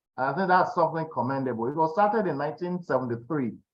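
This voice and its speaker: Lively intonation marks this man's speech in a Nigerian accent. He talks at a very fast pace. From Nigeria, Kaba in Kogi State. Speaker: interview show host. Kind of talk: interview conversation.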